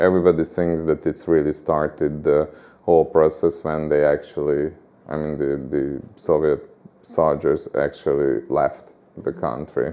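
A man talks in a Hungarian accent. His pace is fairly slow. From Budapest, Hungary. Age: 40s. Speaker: interviewee, Hungarian resident. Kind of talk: interview. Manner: halting, with many repetitions.

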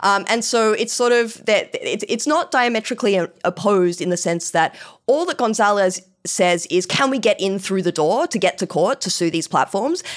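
In a plain, everyday voice, a woman speaks at a medium pitch and moderate pace with lively intonation over a quiet background. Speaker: law professor. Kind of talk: expert interview discussion.

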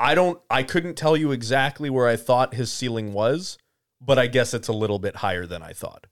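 With a plain, everyday voice, a man speaks at a moderate pace and medium pitch, his intonation lively and his loudness swinging widely. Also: very clean recording, silent background. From Canada. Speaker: podcast co-host, hockey talk. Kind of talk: casual chat. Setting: studio.

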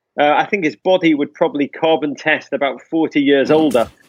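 A man with an English accent, lively intonation and a fairly quick pace, dry and close with no echo. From England. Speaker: soccer podcast host. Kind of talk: casual chat. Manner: animated.

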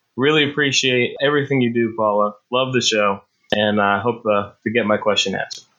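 A man's voice, medium-pitched and fairly quick, an ordinary speaking voice. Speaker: podcast listener asking a question. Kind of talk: recorded voicemail question. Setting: phone call.

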